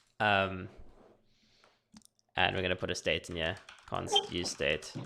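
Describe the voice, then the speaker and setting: A man mumbles in a very deep, low pitch at a fairly slow pace. His intonation is monotone and flat. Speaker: software developer streaming coding. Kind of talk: live coding tutorial. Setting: live stream. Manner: casual, hesitant with many fillers; mumbling.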